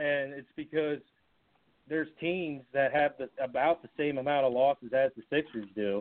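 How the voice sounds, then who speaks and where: A man with a plain, everyday voice speaks with an American accent at a moderate pace. His pitch is fairly high, his intonation fairly even, and his loudness swings widely. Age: young. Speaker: podcast co-host. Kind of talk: casual chat.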